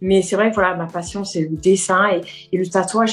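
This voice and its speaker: A woman with a slight Corsican accent talks at a fairly quick pace in a medium pitch, her intonation monotone and flat. Music plays in the background. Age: 40s. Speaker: nail technician, tattoo trainee. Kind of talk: interview. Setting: video call. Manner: hesitant, many fillers.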